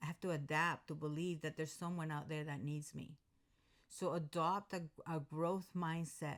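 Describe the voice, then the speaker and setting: A woman with a very deep, low pitch speaks in a monotone, flat way at a moderate pace, on a very clean recording with a silent background. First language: not English. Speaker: personal development vlogger. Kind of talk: motivational talk to camera. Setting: recording alone to camera.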